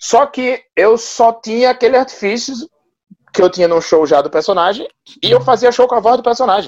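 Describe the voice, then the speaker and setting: Pitch varies in an ordinary way while the talking proceeds at a moderate speed. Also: man, extremely high pitch for a man. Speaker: stand-up comedian. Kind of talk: casual interview.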